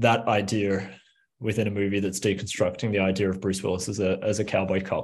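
A man speaks in a fairly low pitch with an Australian accent. His intonation is monotone and flat. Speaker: film director. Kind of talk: interview.

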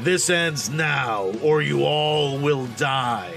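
Over clear music in the background, a man puts on a loud character voice with a medium pitch, speaking at a very slow pace. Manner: menacing, commanding.

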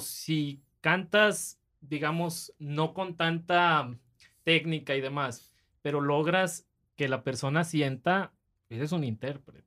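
A man speaks in an ordinary speaking voice, fairly high in pitch, with ordinary pitch variation. The recording is very clean, with a silent background. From Monterrey, northern Mexico. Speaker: podcast host. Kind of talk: casual chat.

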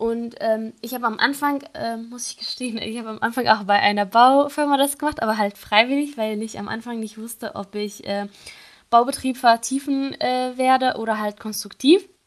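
With a slight non-native accent, a high-pitched woman speaks at a moderate pace, with ordinary pitch variation and big swings in loudness. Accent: barely noticeable foreign. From Syria. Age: 20s. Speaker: engineering student. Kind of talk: interview. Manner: hesitant, many fillers.

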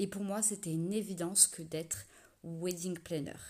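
A woman with a fairly low-pitched voice, dark, mellow tone and fairly even intonation. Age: 30s. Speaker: wedding planner, podcast host. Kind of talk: scripted solo podcast intro.

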